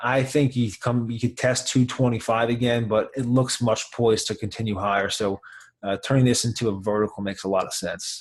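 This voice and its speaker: Excitement comes through as a man speaks at medium pitch. His pace is fairly quick. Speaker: options trading coach. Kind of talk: live trading tutorial. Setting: on camera, live trading room session. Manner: fast; excited.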